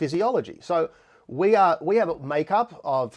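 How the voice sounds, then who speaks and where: A man with an Australian accent speaks with lively intonation against a quiet background. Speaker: musician and live stream host. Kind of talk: live stream tutorial. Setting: home studio, live stream. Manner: fast.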